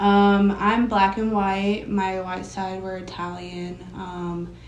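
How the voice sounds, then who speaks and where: In an American accent, a woman at medium pitch talks very slowly with monotone, flat intonation and big swings in loudness, and room echo is audible. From US South, North Carolina (near Raleigh). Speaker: R&B singer. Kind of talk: interview.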